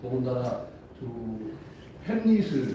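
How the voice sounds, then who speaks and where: A man talks amid noticeable background noise, with room echo clearly audible. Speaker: talk show moderator. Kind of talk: live talk show moderation.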